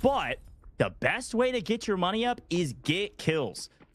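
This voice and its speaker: There is music in the background as a man speaks. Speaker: esports caster. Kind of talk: live commentary. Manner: animated.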